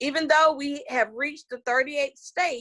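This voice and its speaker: A woman at a moderate pace with a Southern US accent. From US South (Georgia). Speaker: political candidate. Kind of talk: interview. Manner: animated.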